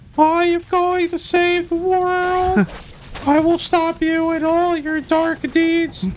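An extremely high, squeaky put-on character voice crawls along at a very slow pace with monotone, flat intonation. Clear background noise runs beneath it. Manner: earnest, heroic.

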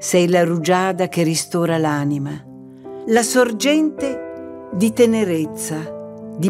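A woman speaks very slowly at a fairly low pitch with lively intonation. Music plays in the background. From Sicily, Italy. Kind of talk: devotional poetry reading. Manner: expressive.

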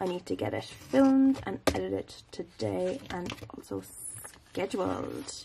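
Over light background noise, a woman with an Irish accent speaks at a moderate pace. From Ireland. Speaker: vlogger. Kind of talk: casual vlog. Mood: relaxed, chatty. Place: home room. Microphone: phone near.

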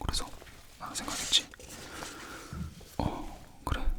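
Someone whispers at a moderate pace while noticeable background noise runs behind them. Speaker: ASMR creator. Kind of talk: casual storytelling to viewers. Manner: whispered, soft-spoken.

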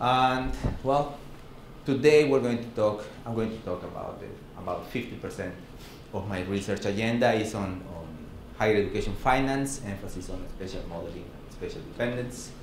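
A man speaks with a Mexican accent, his loudness rising and falling sharply and his pitch varying in an ordinary way. Audible room echo and light background noise surround him. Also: moderate pace. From Mexico. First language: Spanish. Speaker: professor. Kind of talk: lecture. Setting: seminar room with audience. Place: classroom.

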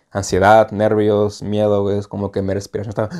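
At a moderate pace, a man speaks in a dark, mellow tone with a fairly low pitch against a quiet background. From Mexicali, Baja California, Mexico; Baja California, Mexico. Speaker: student; interview guest. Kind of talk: casual chat. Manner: casual, halting. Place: home room. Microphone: lapel.

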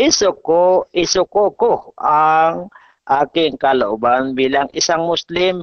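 The sound is dry with no echo and the background quiet. Pitch variation is ordinary. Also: man. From Philippines. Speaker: Islamic teacher (ustad). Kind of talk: formal religious debate. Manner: halting, many filler sounds. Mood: argumentative, earnest. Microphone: video call.

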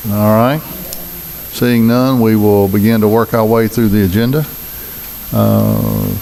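A man with a Mississippi accent speaks at a fairly slow pace with long, frequent pauses, fairly low pitch and fairly even intonation. His loudness is very even, and there is noticeable background noise. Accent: Southern US, Mississippi. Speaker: city mayor chairing board meeting. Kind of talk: public meeting proceedings.

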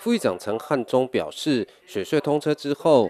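Against music in the background, a man talks at a moderate pace with lively intonation. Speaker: news reporter. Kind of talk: news report voiceover.

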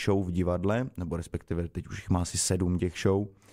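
A man is speaking. The background is quiet. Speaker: guest. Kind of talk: interview answer. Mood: relaxed, amused. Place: studio. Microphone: studio mic.

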